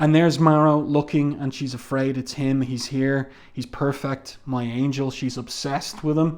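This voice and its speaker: Against a quiet background, a man speaks at a moderate pace. His pitch is medium. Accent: Irish. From Ireland. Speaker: comic book reviewer. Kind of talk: review commentary. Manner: casual, with frequent fillers.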